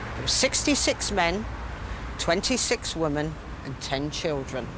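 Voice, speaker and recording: A woman talks fairly slowly while noticeable background noise can be heard. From Southampton, England. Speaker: local history guide. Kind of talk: guided walking tour to camera. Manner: down-to-earth, unpretentious.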